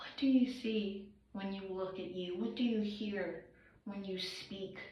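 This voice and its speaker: A woman at a fairly slow pace, amid noticeable background noise and audible room echo. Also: medium pitch for a woman, fairly even intonation, big swings in loudness. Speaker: vlogger. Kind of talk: personal confessional monologue. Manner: emotional, earnest.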